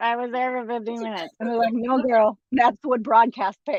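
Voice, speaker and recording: The woman's high-pitched voice comes at a moderate pace in a dry, close sound with no echo. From Puerto Rico. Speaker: voice actor and singer. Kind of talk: casual interview. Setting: live stream.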